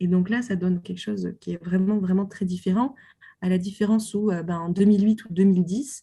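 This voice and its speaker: Her voice is somewhat breathy with a dark, mellow tone at medium pitch. The woman speaks at a fairly quick pace with fairly even intonation. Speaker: doctoral researcher on film. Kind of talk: interview. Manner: hesitant, many fillers.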